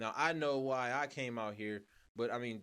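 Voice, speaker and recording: In an ordinary speaking voice, a man with an American accent talks at a moderate pace and medium pitch, his intonation fairly even. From US Midwest. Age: 30s. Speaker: podcast host. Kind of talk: casual interview.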